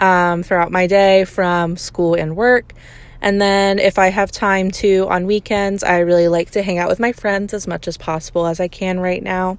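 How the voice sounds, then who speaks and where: A woman's voice at a medium pitch. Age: 20s. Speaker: college student podcaster. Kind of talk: casual monologue. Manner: frequent ums, hesitant.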